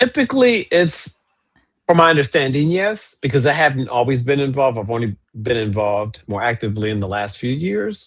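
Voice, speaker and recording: This man has a normal speaking voice at a medium pitch. He moves at a fairly quick pace with lively intonation. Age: 60s. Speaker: archivist and co-host. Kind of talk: casual chat.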